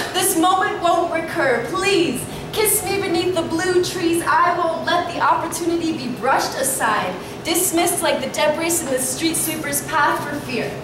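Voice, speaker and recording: A woman talks at a moderate pace. Noticeable background noise and audible room echo surround her voice. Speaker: slam poet. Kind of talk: sensual spoken word poetry performance. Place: shop. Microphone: camera far.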